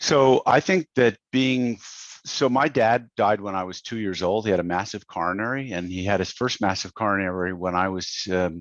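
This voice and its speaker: A man speaks in an unremarkable speaking voice at a moderate pace, with a fairly low pitch and ordinary pitch variation. The sound is dry and close, with no echo. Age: 60s. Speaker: business coach. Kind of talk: podcast interview. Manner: conversational, many fillers.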